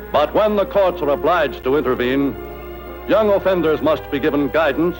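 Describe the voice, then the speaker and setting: A man talks fairly quickly while music sounds behind him. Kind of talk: newsreel narration.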